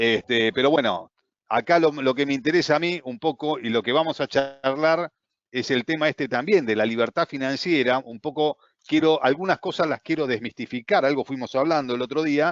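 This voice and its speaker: Here is a man with an Argentine accent. His pitch sits fairly high for a man. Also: ordinary pitch variation, moderate pace. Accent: Argentine Spanish (Rioplatense). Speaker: trading course instructor. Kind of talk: online class.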